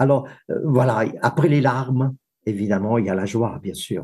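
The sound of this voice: A man talks at a moderate pace with a medium pitch and ordinary pitch variation. His tone is dark and mellow, with a slightly husky edge.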